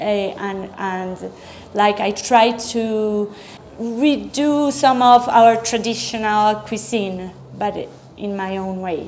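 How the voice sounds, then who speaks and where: A woman speaks at a very slow pace with a Spanish accent, a fairly high pitch and ordinary pitch variation. Audible room echo is present. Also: big swings in loudness. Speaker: chef. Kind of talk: interview. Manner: halting.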